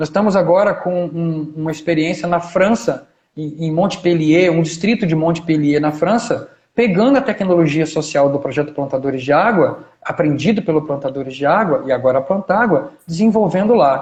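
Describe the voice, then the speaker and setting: A man speaks in a high pitch with ordinary pitch variation. His pace is moderate. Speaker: historian and agroecology researcher. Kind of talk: live stream talk.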